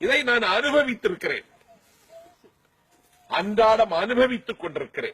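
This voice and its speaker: A man speaks with an extremely high pitch and ordinary pitch variation. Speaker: politician and orator. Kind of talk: casual talk to camera, interview answer, humorous anecdote.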